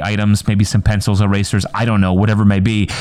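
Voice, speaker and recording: A man with a fairly low voice and a slight Upper Peninsula accent talks at a fairly quick pace over noticeable background noise. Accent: northern Upper Midwest (UP) accent, slight. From Upper Peninsula of Michigan. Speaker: podcaster, educator, coach and grad student. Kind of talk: casual solo podcast monologue. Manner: halting, with filler words and repeats.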